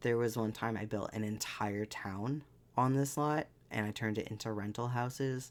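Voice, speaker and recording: On a very clean recording with a silent background, a man with an ordinary speaking voice and medium pitch talks at a moderate pace with fairly even intonation. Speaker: gaming youtuber. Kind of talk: casual gameplay commentary. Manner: casual, with many fillers.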